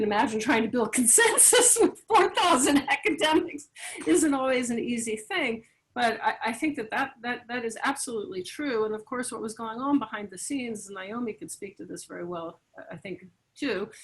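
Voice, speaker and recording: A woman with a high voice and a North American accent speaks at a fairly quick pace, her pitch swinging very widely and her loudness rising and falling sharply. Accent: noticeable North American. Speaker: academic. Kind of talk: panel discussion.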